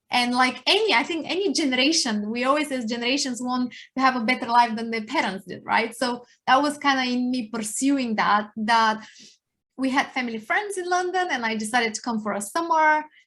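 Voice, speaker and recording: A woman with a high, bright, sharp voice, lively intonation and a fairly quick pace, against a quiet background. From Bulgaria. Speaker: workplace consultant. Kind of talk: podcast interview.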